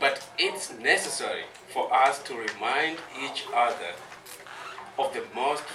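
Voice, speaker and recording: A man speaks at a very slow pace. Noticeable background noise and audible room echo accompany him. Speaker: cultural educator. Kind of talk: talk to audience. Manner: soft-spoken.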